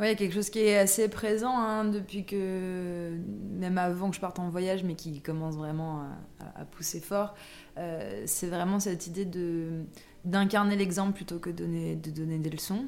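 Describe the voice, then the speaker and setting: Audible room echo surrounds a woman's voice. She speaks at a fairly slow pace with fairly even intonation. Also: medium pitch for a woman. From France, Versailles. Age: 30s. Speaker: life coach. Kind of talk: casual interview. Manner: hesitant, many fillers.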